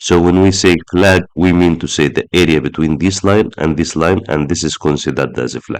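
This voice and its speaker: With vocal fry and a very deep, low pitch, a man talks at a moderate pace. He has hardly any pauses and ordinary pitch variation. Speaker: trading analyst. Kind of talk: market analysis tutorial.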